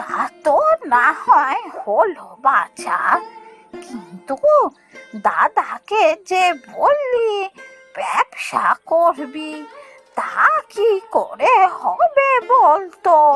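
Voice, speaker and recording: A woman uses a cartoonish character voice at an extremely high pitch, with very wide pitch swings and a very slow pace. Faint music plays in the background. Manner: affectionate, fretting.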